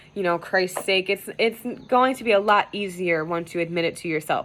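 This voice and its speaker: At a fairly quick pace, a woman with a medium pitch speaks with ordinary pitch variation. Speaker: tarot reader. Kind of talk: tarot reading video. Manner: casual, filler-heavy with many 'um' and 'you know'; stumbling over words.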